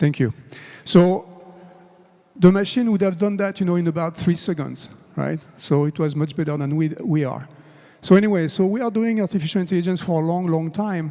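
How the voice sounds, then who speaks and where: A man with a French accent talks at a fairly quick pace and a high pitch. His pitch variation is ordinary, and his pauses are long and frequent. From France. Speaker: conference speaker on AI. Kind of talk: conference talk. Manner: conversational with fillers.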